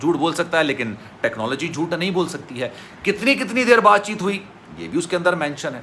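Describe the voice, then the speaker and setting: With music in the background, a man talks at a moderate pace with lively intonation. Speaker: YouTube news commentator. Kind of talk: news commentary. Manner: emotional.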